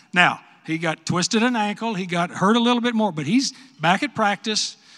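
This man talks at a fairly quick pace with an American accent. His tone is bright and sharp, and his intonation is lively. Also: very clean recording, silent background. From West Texas. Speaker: retired football coach and commentator. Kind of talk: speech at luncheon Q&A.

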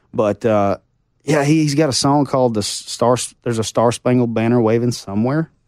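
At a fairly quick pace, a man with an Arkansas accent speaks at a medium pitch, with very even loudness and fairly even intonation. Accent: Southern US (Arkansas). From US South, Arkansas Ozarks. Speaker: country singer. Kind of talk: casual chat.

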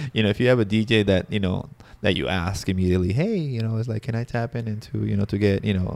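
A man talks at a very fast pace with a Spanish accent. His pitch is fairly low and his intonation fairly even. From Peru. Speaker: wedding videographer. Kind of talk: casual chat. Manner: halting.

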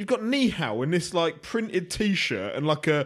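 A high male voice in a southern England accent, moderately paced, with very wide pitch swings. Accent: British English, southern England. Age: 30s. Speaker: boxing pundit. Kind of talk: casual chat.

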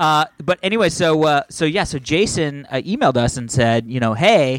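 With lively intonation at a moderate pace, a man speaks in an ordinary speaking voice. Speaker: podcast host. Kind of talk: casual banter podcast. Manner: joking, bantering.

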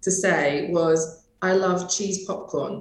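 The speaker is a woman. She has a British accent. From UK. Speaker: hospitality consultant. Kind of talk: interview.

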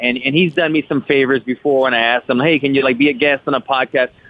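A man speaks in a normal speaking voice. His pitch is fairly high and his pace fairly quick. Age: 30s. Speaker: fighter. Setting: phone call.

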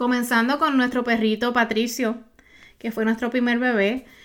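Her voice is fairly high for a woman, and she speaks in an animated tone. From Puerto Rico. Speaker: podcast host, online business coach. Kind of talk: solo podcast monologue.

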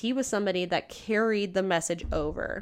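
The speech moves at a fairly quick pace with ordinary pitch variation. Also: woman. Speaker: true crime podcast co-host. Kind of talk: casual chat, storytelling a crime case. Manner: loud.

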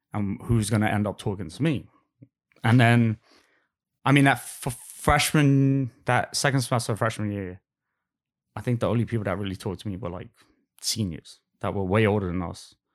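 On a very clean recording with a silent background, a man with a Cockney accent and fairly low pitch talks at a fairly quick pace with long, frequent pauses. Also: ordinary pitch variation. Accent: Cockney London English. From London, England. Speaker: guest. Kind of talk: casual interview chat.

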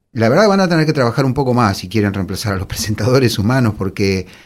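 A man at medium pitch speaks fairly quickly with lively intonation, in an ordinary speaking voice. The recording is very clean with a silent background. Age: 50s. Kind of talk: casual chat.

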